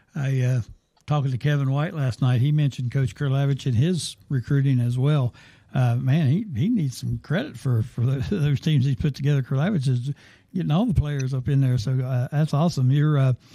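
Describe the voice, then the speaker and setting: A man speaks at a fairly quick pace and medium pitch, with ordinary pitch variation and very even loudness. His voice is somewhat breathy, with a dark, mellow tone. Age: 60s. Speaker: sports talk show host. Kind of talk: interview. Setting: studio. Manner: halting.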